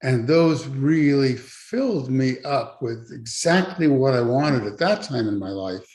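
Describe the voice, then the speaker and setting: The voice is somewhat breathy, with lively intonation, a fairly slow pace and hardly any pauses. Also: man, medium pitch for a man. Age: 70s. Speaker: church member sharing his story. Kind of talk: testimony.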